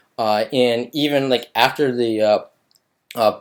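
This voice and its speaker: A man's medium-pitched voice comes through on a very clean recording with a silent background. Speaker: vlogger and software engineer. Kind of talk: casual vlog monologue. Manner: halting, many fillers.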